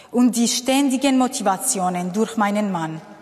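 Against noticeable background noise, a woman with a Kurdish accent speaks in a fairly high voice with lively intonation. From Syria. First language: Kurdish (speaking German). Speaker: refugee and social worker. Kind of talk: testimony.

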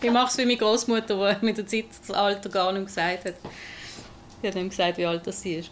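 Over noticeable background noise, a woman talks at a fairly quick pace in a medium pitch with fairly even intonation and long, frequent pauses. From Basel, Switzerland. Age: 40s. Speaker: rapper. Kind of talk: interview.

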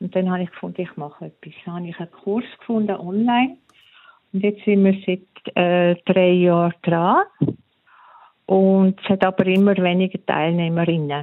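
Using an unremarkable speaking voice, a woman at medium pitch talks at a moderate pace with fairly even intonation, though her loudness swings widely. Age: middle-aged. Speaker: listener guest. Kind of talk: interview.

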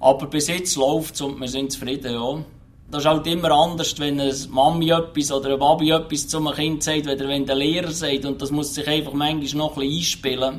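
A man speaks at a fairly quick pace with a fairly high pitch. His intonation is monotone and flat. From Switzerland, canton of Lucerne. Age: 40s. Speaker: truck driver. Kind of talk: interview.

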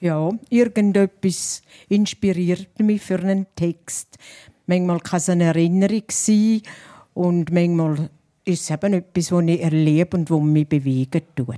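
Recorded very cleanly against a silent background, a woman speaks fairly slowly with a fairly low pitch, a dark, mellow tone and ordinary pitch variation, in a dry, close sound with no echo. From St. Gallen Rhine Valley, Switzerland. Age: 70s. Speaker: dialect poet. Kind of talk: panel talk. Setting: live audience.

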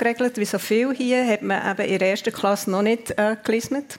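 With a normal speaking voice, a woman talks at a moderate pace and a fairly high pitch, using ordinary pitch variation. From Switzerland, Zurich then Bern. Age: 50s. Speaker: department store executive. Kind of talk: radio interview. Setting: live radio show before audience.

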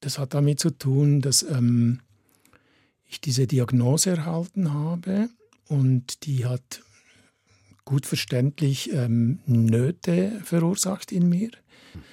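A man speaks very slowly in a dark, mellow, somewhat breathy tone, with lively intonation. Long, frequent pauses break up his speech, and the sound is dry and close with no echo. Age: 60s. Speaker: photographer. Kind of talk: radio interview.

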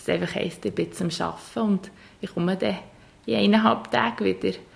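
With vocal fry, a woman speaks at a fairly low pitch. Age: 20s. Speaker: social worker in a children's home. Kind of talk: interview. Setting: indoors with open windows.

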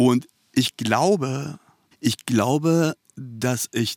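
Recorded dry and close with no echo, a man with a Persian accent speaks with ordinary pitch variation. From Iran, raised in Germany from age 9-10. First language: Persian (speaking German). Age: 40s. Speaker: author. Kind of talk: interview. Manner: halting, many fillers.

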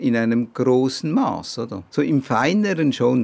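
Here a man speaks at a medium pitch with vocal fry. His intonation is lively. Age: 60s. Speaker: patient, civil servant. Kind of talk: interview. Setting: outdoors on a balcony.

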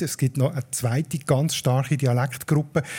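A dark, mellow, somewhat breathy tone with ordinary pitch variation. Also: man. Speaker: podcast host, dialect expert. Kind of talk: explanatory chat, live. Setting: live stage with audience at a festival.

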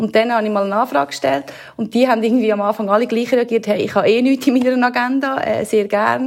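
Speaking at a very fast pace, a woman with a Swiss accent uses a fairly high pitch and ordinary pitch variation. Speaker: radio presenter. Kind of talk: casual interview.

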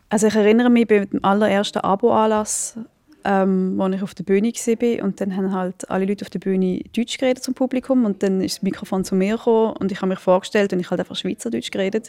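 Talking at a very fast pace, a woman with medium pitch, a dark, mellow tone and fairly even intonation comes across dry and close with no echo. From Switzerland. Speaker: theatre director. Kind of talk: interview.

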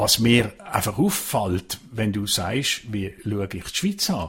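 A fairly slow, lively-intoned voice in a Basel accent, on a very clean recording with a silent background. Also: man. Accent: Swiss German (Basel region). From Switzerland, Basel-Landschaft (Pratteln). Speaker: foreign correspondent. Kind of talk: casual chat.

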